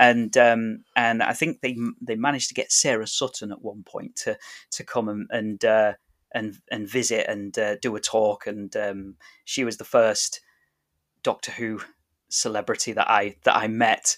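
This man speaks at medium pitch and a moderate pace, in a monotone with flat intonation. The sound is dry and close with no echo, on a very clean recording with a silent background. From northern England, Grimsby. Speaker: podcaster. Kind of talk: interview. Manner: halting.

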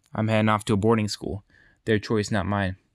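On a very clean recording with a silent background, a man of fairly low pitch speaks in a monotone, flat intonation, the sound dry and close with no echo. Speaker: podcast host, physical therapy student. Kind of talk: solo podcast monologue. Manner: casual, rambling.

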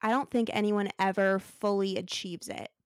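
A woman with an American accent talks in a normal speaking voice at medium pitch, keeping a moderate pace and fairly even intonation on a very clean recording with a silent background. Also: dry, close sound with no echo. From Arizona. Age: 20s. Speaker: podcast host, recent graduate. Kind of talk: casual chat.

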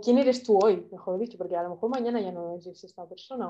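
Her dark, mellow tone carries fairly even intonation as the woman talks at a fairly quick pace. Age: 20s. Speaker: art student and photographer. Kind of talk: casual interview.

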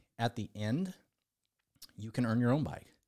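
A man speaks with an American accent and ordinary pitch variation. His tone is dark and mellow. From California, Central Valley. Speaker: recovery speaker, former BMX racer. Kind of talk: interview conversation. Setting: studio, across the table.

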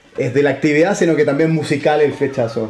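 Noticeable background noise and audible room echo surround a man talking fairly quickly at a fairly high pitch. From Santiago, Chile. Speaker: band musician. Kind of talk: interview.

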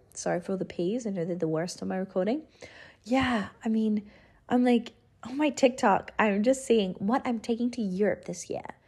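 The woman's pitch sits fairly high. Her voice is somewhat breathy. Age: 20s. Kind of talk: casual solo monologue. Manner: low-energy, subdued.

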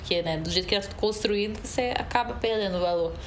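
There is noticeable background noise and audible room echo as a woman talks at a fairly quick pace. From Brazil, Recife (Pernambuco). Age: 30s. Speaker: actress and singer. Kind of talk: casual interview chat.

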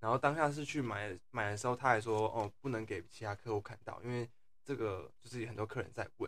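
A man with an ordinary speaking voice, medium in pitch, at a fairly quick pace and with fairly even intonation. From Taiwan, Tainan. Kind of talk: casual chat.

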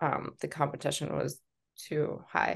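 With an American accent and vocal fry, a woman talks at a moderate pace against a quiet background. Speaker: entrepreneur. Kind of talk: interview.

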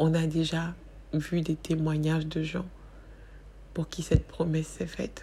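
A woman speaks at a very slow pace. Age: 40s. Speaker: podcast host. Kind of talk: personal reflective monologue. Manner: hesitant, many fillers.

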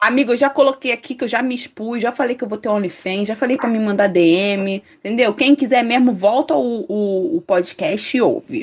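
This woman has a plain, everyday voice, fairly high in pitch, and she speaks with hardly any pauses. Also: ordinary pitch variation, moderate pace. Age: 20s. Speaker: student podcast co-host, singer. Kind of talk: casual chat.

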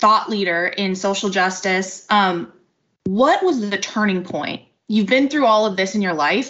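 A woman with a normal speaking voice, medium pitch, ordinary pitch variation, a moderate pace and an American accent. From US suburbs. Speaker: podcast host. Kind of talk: podcast interview.

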